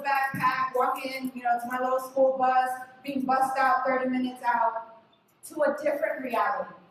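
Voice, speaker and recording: A woman speaks high in pitch with monotone, flat intonation, with audible room echo around her. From Los Angeles, California. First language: Spanish. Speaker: activist panelist. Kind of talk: panel talk, personal story.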